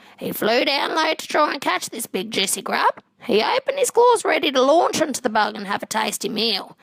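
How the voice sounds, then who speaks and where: A female-sounding voice at a high pitch moves at a fairly quick pace. There are hardly any pauses. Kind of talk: children's fable narration. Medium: stage play.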